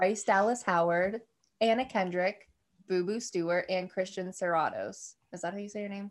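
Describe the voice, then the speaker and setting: A woman speaks in a normal speaking voice at medium pitch. Her pace is moderate and her intonation fairly even. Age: 20s. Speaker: podcast co-host. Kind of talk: casual chat.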